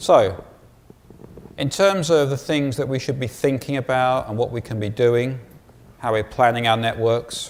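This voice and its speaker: A man with an English accent, medium pitch, a moderate pace, ordinary pitch variation, and long, frequent pauses. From England. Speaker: conference speaker. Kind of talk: conference talk.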